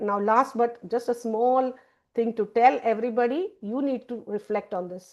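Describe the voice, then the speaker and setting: Fairly quick and fairly high, a woman's voice comes across as a plain, everyday voice with fairly even intonation. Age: 60s. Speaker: university lecturer. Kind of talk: lecture.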